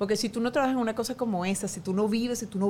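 A woman's fairly high, somewhat breathy voice with a dark, mellow tone, ordinary pitch variation and a very fast pace. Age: 40s. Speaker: journalist. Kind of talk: casual chat.

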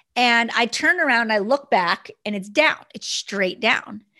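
Energetic and lively in intonation, a woman with a fairly high, bright, sharp voice speaks at a moderate pace, the sound dry and close with no echo and the background quiet. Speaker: network marketing entrepreneur and podcast host. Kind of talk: motivational solo podcast talk.

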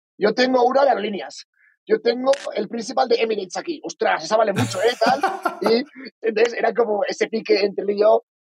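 A man's high-pitched voice at a very fast pace, with ordinary pitch variation and a dry, close sound with no echo, over music in the background. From Spain (Valencia). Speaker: entrepreneur. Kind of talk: interview.

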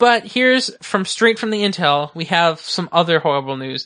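A man with an unremarkable speaking voice, fairly high-pitched and at a fairly quick pace. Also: quiet background. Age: 20s. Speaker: podcast host. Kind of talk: casual chat.

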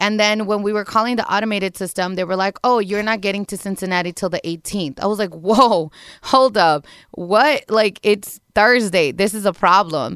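The recording is very clean, with a silent background. A woman with a normal speaking voice and medium pitch talks at a moderate pace. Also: ordinary pitch variation. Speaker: radio show producer. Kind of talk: casual chat.

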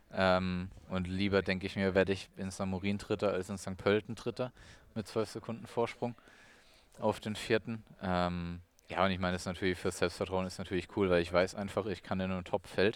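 A man talks with a very deep, low pitch at a fairly quick pace. His intonation is monotone and flat. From Germany, Weinheim (Baden-Württemberg, Odenwald edge). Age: 20s. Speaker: professional triathlete. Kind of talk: interview. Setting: training camp on Lanzarote.

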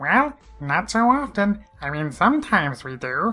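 A squeaky, put-on character voice, fairly high in pitch, swings very widely at a moderate pace over music in the background.

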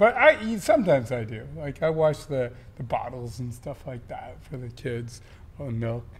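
Somewhat breathy, the voice moves at a moderate pace with lively intonation and big swings in loudness. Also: man, medium pitch for a man. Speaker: podcast co-host. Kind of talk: casual chat between couple, podcast.

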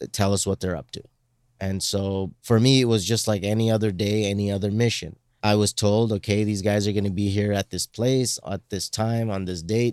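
Over a silent background in a very clean, dry, close recording with no echo, a man with an unremarkable speaking voice talks at a moderate pace, his pitch fairly low and his intonation fairly even. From Canada, Indian background. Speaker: former counter-terrorism undercover operative. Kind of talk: casual interview.

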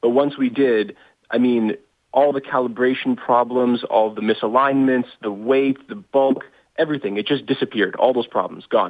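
Using an unremarkable speaking voice, a man speaks at medium pitch and a moderate pace with ordinary pitch variation. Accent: Canadian. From Canada. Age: young. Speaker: inventor and startup founder. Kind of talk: interview.

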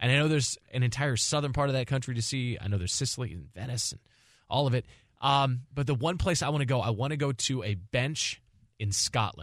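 On a very clean recording with a silent background, a man talks fairly quickly in a normal speaking voice, medium in pitch with ordinary pitch variation. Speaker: radio host. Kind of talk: casual sports talk.

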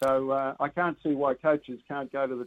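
At a moderate pace, a man with fairly high pitch speaks in a monotone, flat intonation. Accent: Australian. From Australia. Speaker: rugby commentator. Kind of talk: casual chat.

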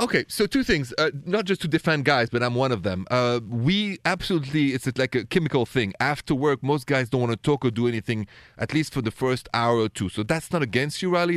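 On a very clean recording with a silent background and a dry, close sound with no echo, a man speaks at medium pitch and a fairly quick pace with lively intonation. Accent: strong French. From Paris, France. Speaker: radio relationship advice host.

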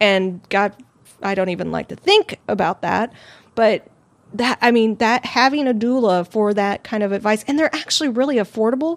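In a normal speaking voice, a woman with a fairly high pitch speaks at a moderate pace, recorded with a dry, close sound and no echo. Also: ordinary pitch variation. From Arizona. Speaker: podcast host. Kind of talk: casual chat. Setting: live stream.

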